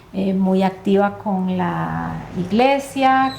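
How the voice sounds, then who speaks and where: A woman talks very slowly, and audible echo fills the room around her. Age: 60s. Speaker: lawyer and life coach. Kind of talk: testimony. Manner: hesitant, many fillers.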